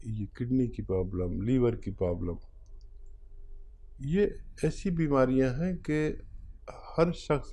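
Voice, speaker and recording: Against audible room echo, a man with a medium pitch speaks in a dark, mellow tone with lively intonation. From India. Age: 60s. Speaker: hakim (traditional medicine practitioner). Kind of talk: health advice interview.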